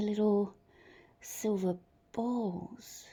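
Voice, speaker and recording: The voice comes across somewhat breathy, with an Australian accent. Its pitch varies in an ordinary way. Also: woman. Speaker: resin artist. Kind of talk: tutorial. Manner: casual, hesitant with fillers.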